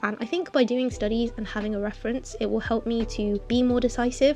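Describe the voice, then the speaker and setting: A woman talks at a fairly quick pace while noticeable background noise carries on. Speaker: digital artist. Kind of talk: casual painting process voiceover. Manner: rambling, chatty.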